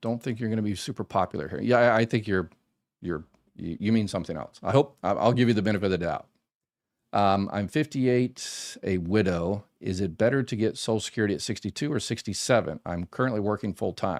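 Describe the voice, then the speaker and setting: A man with a plain, everyday voice speaks in an American accent at a fairly low pitch and a fairly quick pace. His pitch variation is ordinary, in a very clean recording with a silent background. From Florida. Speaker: former government benefits manager, advice channel host. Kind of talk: live stream Q&A. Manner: casual, conversational with many fillers.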